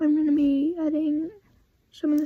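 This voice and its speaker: Soft-spoken and fairly slow, a woman talks at a high pitch in a dark, mellow tone with monotone, flat intonation. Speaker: video creator. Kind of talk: commentary video. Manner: halting.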